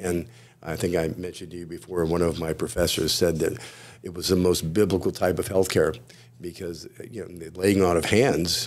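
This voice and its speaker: A man's very deep, low voice in an American accent, at a fairly quick pace with ordinary pitch variation, on a very clean recording with a silent background. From Florida, US. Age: 60s. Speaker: chiropractor. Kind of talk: podcast interview. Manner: halting, many fillers.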